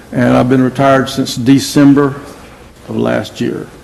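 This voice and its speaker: A man speaks with an American accent. Audible room echo and noticeable background noise fill the recording. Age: 70s. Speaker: trial witness, retired billboard executive. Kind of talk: testimony. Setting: courtroom.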